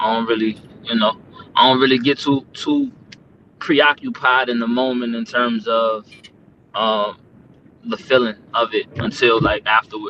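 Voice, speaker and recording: With an American accent, the speaker goes at a fairly slow pace with long, frequent pauses and monotone, flat intonation. Background noise is noticeable. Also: man, medium pitch for a man. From Maryland, Prince George's County (US). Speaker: battle rapper. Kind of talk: casual interview chat.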